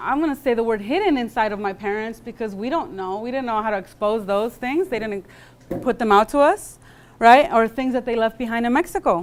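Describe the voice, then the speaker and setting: A woman speaks with an American accent and a high pitch. Her intonation is lively. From California. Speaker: guest speaker. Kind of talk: lecture. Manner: casual, with many fillers.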